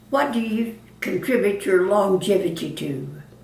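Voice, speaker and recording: Over noticeable background noise, a woman talks at medium pitch and a fairly slow pace. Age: 80s+. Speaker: retired cosmetics saleswoman. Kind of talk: interview answer.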